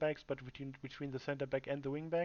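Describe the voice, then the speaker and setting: A man with a German accent speaks in a fairly high pitch. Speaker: gamer and team captain. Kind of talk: tactical briefing to teammates. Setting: livestream. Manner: halting, many fillers and repetitions.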